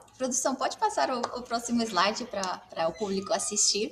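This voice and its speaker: There is noticeable background noise behind this woman. She speaks with a Mexican accent at a fairly high pitch. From Mexico. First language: Spanish (speaking Portuguese). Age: 40s. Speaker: marketing agency CEO. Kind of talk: live webinar interview. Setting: agency office, video stream.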